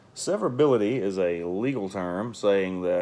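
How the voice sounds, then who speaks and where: This man's voice sits at a fairly low pitch. He speaks with a Southern US accent. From US South. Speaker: real estate investor and landlord. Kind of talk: casual tutorial. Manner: casual, halting with fillers. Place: home room. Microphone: phone near.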